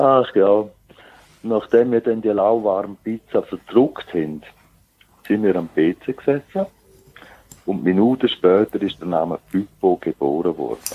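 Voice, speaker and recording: A man with a fairly low pitch speaks at a fairly slow pace, with ordinary pitch variation and long, frequent pauses. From Switzerland, Zurich. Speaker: geocacher. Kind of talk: casual interview.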